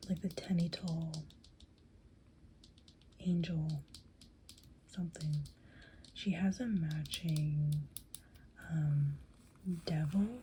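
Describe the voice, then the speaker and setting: A soft-spoken, somewhat breathy woman with a very deep, low pitch and dark, mellow tone, ordinary pitch variation, a very slow pace and long, frequent pauses. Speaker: cosplayer and ASMR creator. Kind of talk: ASMR soft-spoken rambling about figures. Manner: soft-spoken, rambling, casual.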